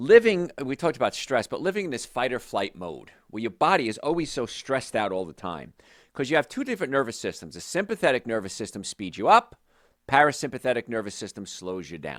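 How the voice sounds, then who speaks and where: A man talks very fast at a medium pitch, with vocal fry, very wide pitch swings and big swings in loudness. The recording is very clean and silent in the background, with a dry, close sound and no echo. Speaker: health show host, doctor. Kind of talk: radio-style health talk show.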